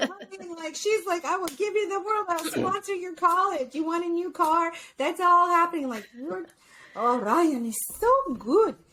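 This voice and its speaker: A woman projects a raised voice at an extremely high pitch, her tone bright and sharp. She speaks at a moderate pace with lively intonation and big swings in loudness. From US, Filipino-American family. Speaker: psychologist and speaker. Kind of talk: podcast interview. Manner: animated.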